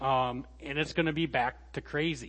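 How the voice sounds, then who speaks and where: This man has a normal speaking voice, pitched fairly high with ordinary variation in pitch. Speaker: guest preacher. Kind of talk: sermon.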